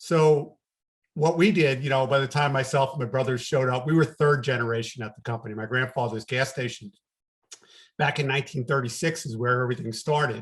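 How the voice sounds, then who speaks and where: Somewhat breathy and fairly quick, a man of medium pitch speaks with a slight New York accent and ordinary pitch variation. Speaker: business coach. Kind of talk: podcast interview.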